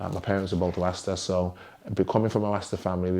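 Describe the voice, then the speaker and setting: A man with an English accent speaks in a very deep, low pitch and a dark, mellow tone. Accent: English accent noticed by Americans. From West Midlands, England (Wolverhampton). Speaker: DJ and music artist. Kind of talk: interview. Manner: hesitant, many fillers.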